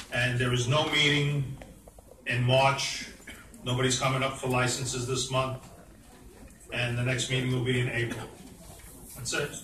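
A man with a medium-pitched, monotone delivery speaks at a moderate pace with long, frequent pauses, amid audible room echo and light background noise. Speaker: committee chair; committee chair reporting. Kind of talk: committee report at public meeting. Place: hall. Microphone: camera far.

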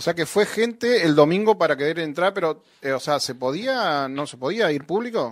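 A high-pitched man at a moderate pace with hardly any pauses, lively intonation, big swings in loudness, and a quiet background. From Entre Ríos, Argentina. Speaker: radio host. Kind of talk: radio interview. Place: studio.

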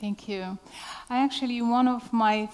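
The woman's intonation stays fairly even. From Morocco. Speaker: artist; speaker. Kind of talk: panel discussion. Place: stage. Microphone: headset.

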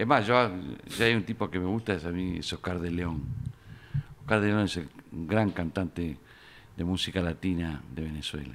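A man speaks in a very deep, low voice, leaving long, frequent pauses. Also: ordinary pitch variation, moderate pace. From Argentina. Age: 70s. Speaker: journalist and author; journalist. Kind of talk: interview. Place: studio. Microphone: studio mic.

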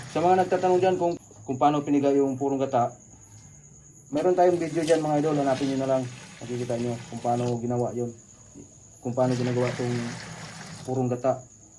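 Talking at a very fast pace with long, frequent pauses, a man holds a medium pitch and ordinary pitch variation. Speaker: video blogger making homemade ice cream. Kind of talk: cooking tutorial. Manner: casual, chatty.

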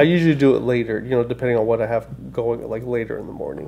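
A man speaks over light background noise. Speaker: podcast host. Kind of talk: casual podcast conversation. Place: office. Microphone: studio mic.

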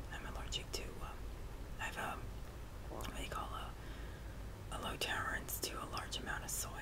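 Loud background noise fills the clip. A woman speaks at a moderate pace over it. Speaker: ASMR channel host. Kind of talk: casual vlog chat.

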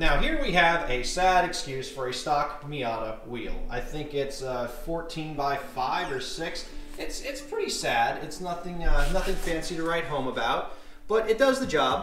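A man's high voice at a fairly slow pace, with audible room echo and faint music in the background. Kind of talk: casual vlog chat. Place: garage. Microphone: phone near.

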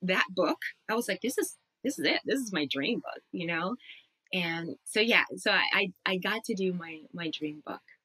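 Her pitch swings very widely around a medium level as a woman talks at a moderate pace. The sound is dry with no echo. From Puerto Rico. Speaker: audiobook narrator and actor; audiobook narrator, actor. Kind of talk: casual interview. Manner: animated. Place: home room.

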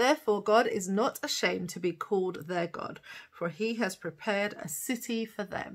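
At a fairly slow pace, a woman talks with a medium pitch and a fairly bright tone.

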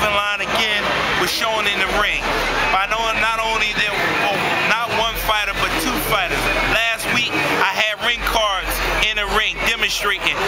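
A man speaks at a moderate pace with long, frequent pauses. Loud background noise runs behind him. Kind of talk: interview answer. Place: street. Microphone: camera far.

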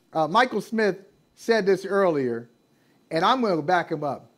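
The talking goes rather slowly. Nothing else is heard behind it. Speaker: sports show co-host. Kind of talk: interview intro, casual banter. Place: home room. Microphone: video call.

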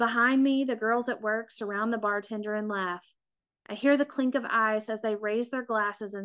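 Against a quiet background, the speaker has a natural reading voice.

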